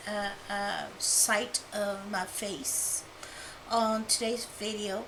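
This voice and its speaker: A woman mumbling at a very slow pace in a monotone, flat intonation, with noticeable background noise and audible room echo. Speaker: art channel creator. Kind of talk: tutorial. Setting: home studio apartment. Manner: whispering. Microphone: new lapel microphone.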